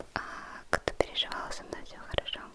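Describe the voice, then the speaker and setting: Noticeable background noise sits behind a woman whispering at a very slow pace. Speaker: ASMR creator. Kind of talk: ASMR whisper vlog to camera. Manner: soft-spoken, slow, calm.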